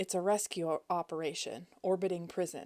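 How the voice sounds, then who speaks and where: A raspy, put-on character voice moves at a fairly quick pace. Its pitch varies in an ordinary way. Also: woman. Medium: read story. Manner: grumpy, curt.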